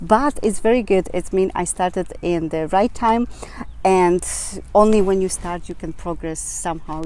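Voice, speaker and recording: Noticeable background noise runs through the clip. A woman talks over it at a moderate pace. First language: Polish. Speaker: business coach vlogger. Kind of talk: vlog advice talk. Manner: halting, many fillers.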